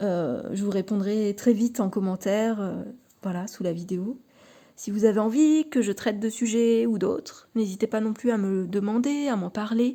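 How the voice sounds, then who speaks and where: A woman's dark, mellow tone at a fairly high pitch, with ordinary pitch variation and a moderate pace, in a very clean recording with a silent background. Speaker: tarot card reader and YouTuber. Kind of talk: casual vlog talk to camera. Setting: at home in her living room. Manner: halting, many fillers and repetitions.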